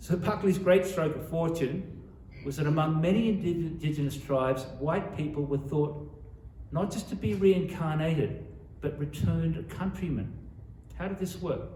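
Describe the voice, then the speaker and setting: In a room with audible echo and noticeable background noise, a man with an Australian accent speaks at a moderate pace in a fairly high voice with ordinary pitch variation. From Sydney, Australia. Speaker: author. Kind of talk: author talk. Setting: library talk with audience.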